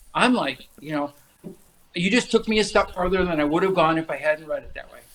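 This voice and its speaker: Lively intonation at a fairly quick pace, with big swings in loudness. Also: man, high pitch for a man. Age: 60s. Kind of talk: casual chat.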